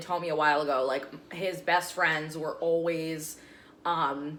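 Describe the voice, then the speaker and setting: Animated in tone, a woman speaks at a fairly slow pace, with audible room echo around her. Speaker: TV news anchor and meteorologist. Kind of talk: casual chat. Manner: loud.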